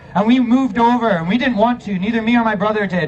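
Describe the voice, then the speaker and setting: Very fast and animated, this voice carries an American accent. Audible room echo and noticeable background noise surround it. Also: man. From US. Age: 30s. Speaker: protest speaker. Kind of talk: rally speech.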